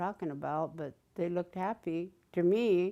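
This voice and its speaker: In a Southern California accent, a woman speaks with a dark, mellow tone over a quiet background. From Southern California, Cahuilla reservation. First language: Cahuilla. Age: old. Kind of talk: interview. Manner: halting.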